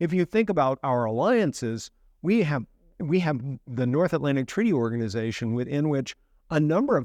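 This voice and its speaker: Lively intonation and a fairly quick pace come through with an American accent, in a dry, close sound with no echo. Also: man, quiet background. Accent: American, noticeable. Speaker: professor. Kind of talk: interview. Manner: repetitive false starts.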